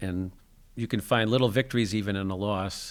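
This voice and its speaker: On a very clean recording with a silent background, a man with a fairly low pitch uses a plain, everyday voice at a moderate pace. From US Northeast (New Jersey). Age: 60s. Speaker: adaptive sports program founder. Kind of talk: interview conversation. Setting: school gym.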